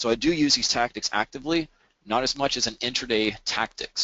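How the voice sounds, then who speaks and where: A man with an American accent talks at a moderate pace, his intonation lively. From Alabama. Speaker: trader and webinar presenter. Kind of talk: webinar presentation.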